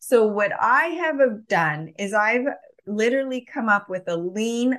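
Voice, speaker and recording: A woman talks at a fairly slow pace with lively intonation. It is a normal speaking voice. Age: 40s. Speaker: health coach and supplement business owner. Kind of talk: interview.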